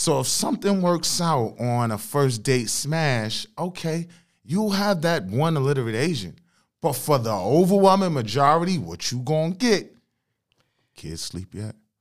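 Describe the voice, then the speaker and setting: Animated male voice, fairly high in pitch with very wide pitch swings, at a fairly slow pace on a very clean recording with a silent background. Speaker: podcast guest. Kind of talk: casual chat. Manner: animated, joking.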